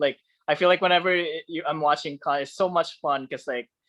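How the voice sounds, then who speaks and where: Over a quiet background, a man with a non-native accent speaks at a high pitch. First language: not English. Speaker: podcast host. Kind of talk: casual interview chat. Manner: halting, many fillers.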